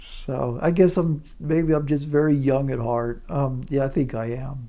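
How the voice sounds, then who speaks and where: Through audible room echo, a man with a dark, mellow tone and fairly high pitch speaks at a fairly slow pace with ordinary pitch variation. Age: 60s. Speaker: retiree vlogger. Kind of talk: casual vlog monologue. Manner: halting, many fillers and repeats.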